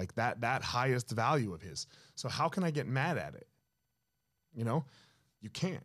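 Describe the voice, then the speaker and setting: Man with an American accent at medium pitch, vocal fry, moderate pace, long and frequent pauses and big swings in loudness, on a very clean recording with a silent background. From New Jersey. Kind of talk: casual chat.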